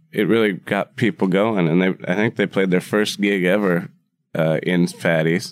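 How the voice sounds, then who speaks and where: A man with an Upper Midwest accent, very deep and low in pitch, at a moderate pace and very even loudness, in a dry, close sound with no echo and a very clean recording over a silent background. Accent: Upper Midwest American. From US Midwest, Wisconsin. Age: 30s. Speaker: bar owner and cook. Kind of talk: casual interview chat. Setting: room above his bar.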